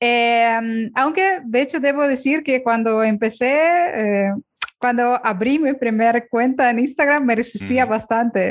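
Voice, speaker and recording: At a fairly slow pace, a woman speaks in a high pitch with ordinary pitch variation and very even loudness. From Ukraine. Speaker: Instagram consultant. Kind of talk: interview.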